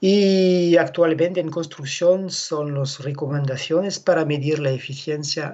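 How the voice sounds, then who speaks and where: The speech moves at a fairly slow pace with hardly any pauses, in a French accent. Intonation stays fairly even. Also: man. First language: French (speaking Spanish). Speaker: animal genetics expert. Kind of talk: conference presentation. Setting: video call.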